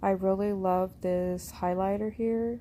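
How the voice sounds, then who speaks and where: A woman speaks softly. Her pace is very slow. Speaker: ASMR youtuber. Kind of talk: ASMR unboxing. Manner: soft-spoken, kept quiet; hesitant, many fillers.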